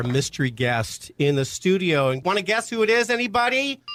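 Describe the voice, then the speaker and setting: With music in the background, a man speaks with very wide pitch swings. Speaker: radio show host. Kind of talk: radio talk show hosting. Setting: radio studio.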